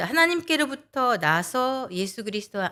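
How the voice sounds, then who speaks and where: Recorded very cleanly against a silent background, a woman speaks with very wide pitch swings. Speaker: lay speaker giving a sermon talk, interpreter by trade. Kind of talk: sermon.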